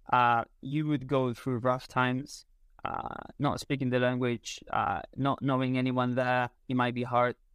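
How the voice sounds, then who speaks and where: A man speaks with a Spanish accent at a fairly slow pace. His intonation is monotone and flat. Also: medium pitch for a man. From Spain. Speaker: content creator and photography teacher. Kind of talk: casual interview. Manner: hesitant, many fillers.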